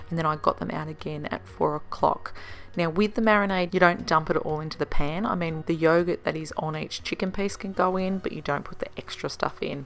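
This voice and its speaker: A woman with a fairly low pitch, fairly even intonation, and a fairly quick pace. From Australia. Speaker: home cook vlogger. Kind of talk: casual talk to camera.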